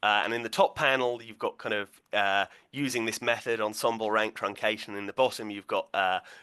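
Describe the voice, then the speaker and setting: A man's fairly low, bright, sharp voice at a fairly quick pace with fairly even intonation, dry and close with no echo, over a quiet background. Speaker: physicist giving a seminar talk. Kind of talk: lecture. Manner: fast; hesitant, many fillers.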